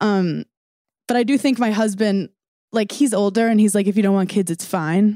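With an American accent, a woman speaks at medium pitch in a dark, mellow tone, her loudness very even. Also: ordinary pitch variation, moderate pace, dry, close sound with no echo. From New York. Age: 30s. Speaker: stand-up comedian and former reality TV cast member. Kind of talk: casual chat.

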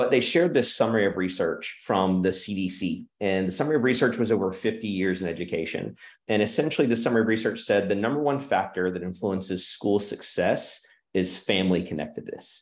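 A man in an American accent, fairly low in pitch with ordinary pitch variation, at a fairly quick pace against a quiet background. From Oklahoma. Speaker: school culture consultant. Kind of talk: interview conversation. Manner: halting with fillers.

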